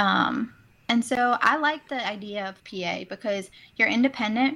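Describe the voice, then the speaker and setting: A woman's bright, sharp voice with ordinary pitch variation on a very clean recording with a silent background. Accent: American. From US South, New Orleans. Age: 20s. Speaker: PA student, former cardiac sonographer. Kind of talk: interview.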